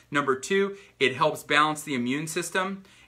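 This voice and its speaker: A man's bright, sharp voice at a fairly quick pace, with ordinary pitch variation. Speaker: chiropractor and health coach. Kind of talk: livestream health talk. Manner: fast; animated.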